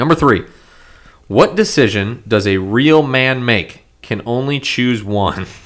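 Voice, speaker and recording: Very slowly, a man speaks in a medium pitch. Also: ordinary pitch variation. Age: 20s. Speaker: podcast co-host. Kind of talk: casual chat.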